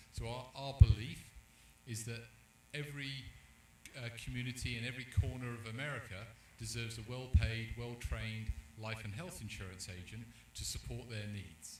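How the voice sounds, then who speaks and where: A man with a London accent speaks at medium pitch and a moderate pace with fairly even intonation, big swings in loudness, and long, frequent pauses, with audible room echo. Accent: British, London. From London, England. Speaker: insurance company executive. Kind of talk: panel discussion. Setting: live event at a restaurant.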